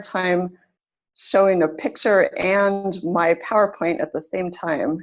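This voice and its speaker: A woman speaks in an unremarkable speaking voice with an American accent and ordinary pitch variation. Her pitch is medium, and the background is quiet. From California, US. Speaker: English teacher. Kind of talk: lecture. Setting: video call.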